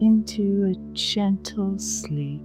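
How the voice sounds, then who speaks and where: A woman speaks very slowly while music plays behind her. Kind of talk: sleep story. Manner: soft-spoken, slow.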